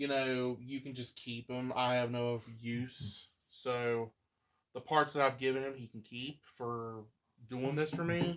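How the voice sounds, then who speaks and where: A man with a slight Appalachian accent speaks at a fairly slow pace and medium pitch. His intonation stays fairly even, though his loudness swings widely. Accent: slight Appalachian twang. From West Virginia. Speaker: vacuum collector. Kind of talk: casual chat.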